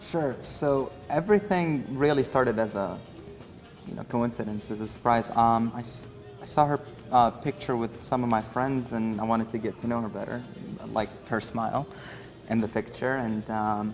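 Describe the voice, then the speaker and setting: Music plays in the background as a man with a medium-pitched voice speaks at a moderate pace with ordinary pitch variation. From Syria, moved to US in 2000. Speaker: groom. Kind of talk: interview. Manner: hesitant, many fillers.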